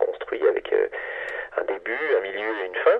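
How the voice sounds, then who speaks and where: Extremely high-pitched for a man, this male voice moves at a fairly quick pace with monotone, flat intonation. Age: 40s. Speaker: science journalist. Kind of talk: interview. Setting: phone call. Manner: hesitant, many filler sounds.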